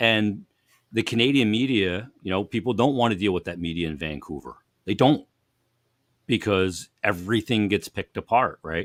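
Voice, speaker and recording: A man with an American accent speaks in a normal speaking voice, fairly low in pitch with ordinary pitch variation. His pace is moderate, on a very clean recording with a silent background. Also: dry, close sound with no echo. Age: 50s. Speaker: hockey broadcaster. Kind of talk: casual chat.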